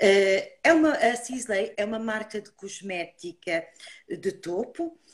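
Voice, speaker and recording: A woman speaks at a very slow pace. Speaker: beauty brand trainer. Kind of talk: online live beauty talk.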